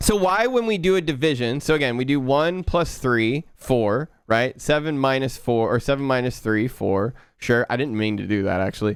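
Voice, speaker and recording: A man with an American accent and a normal speaking voice, medium pitch, lively intonation, a moderate pace and hardly any pauses. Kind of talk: casual teaching or explaining.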